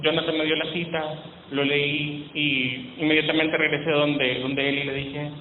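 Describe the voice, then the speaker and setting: In a fairly high voice with a Salvadoran accent, a man speaks over noticeable background noise and audible room echo. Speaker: preacher. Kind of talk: sermon.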